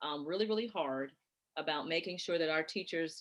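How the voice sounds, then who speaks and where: A woman with an American accent and a normal speaking voice, fairly low in pitch with ordinary variation, at a moderate pace. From North Carolina. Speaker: gifted education coordinator. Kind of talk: Q&A answer in parent workshop.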